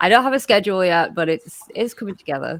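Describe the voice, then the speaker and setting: A woman's medium-pitched voice with an English accent and lively intonation, on a very clean recording over a silent background. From England. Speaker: streamer and contestant. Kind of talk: self-introduction.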